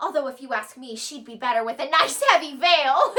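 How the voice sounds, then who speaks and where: This woman uses a put-on character voice that sounds squeaky. Her pitch swings very wide. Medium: stage play. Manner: fluttery, gasping, chattery.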